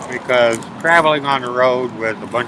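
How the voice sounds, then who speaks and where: Noticeable background noise sits behind the speech. The pace is moderate and the pitch variation ordinary. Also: man. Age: 60s. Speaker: homeless traveler. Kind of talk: interview testimony. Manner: halting.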